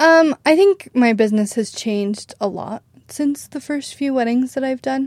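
A woman with an American accent speaks at a moderate pace, her pitch high and her intonation lively. The sound is dry and close, with no echo. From Idaho, US. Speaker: wedding videographer. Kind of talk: casual interview.

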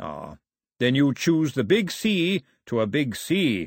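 A man puts on a growling character voice at a fairly slow pace. His pitch swings very widely. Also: fairly high pitch for a man.

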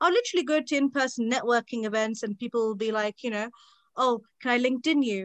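A woman at a very fast pace, high-pitched and with lively intonation, in a dry, close sound with no echo. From England. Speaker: law student. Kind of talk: casual chat.

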